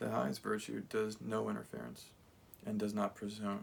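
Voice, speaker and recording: This man talks at a moderate pace. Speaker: channel owner reading a translation. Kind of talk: reading aloud. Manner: halting, with self-corrections.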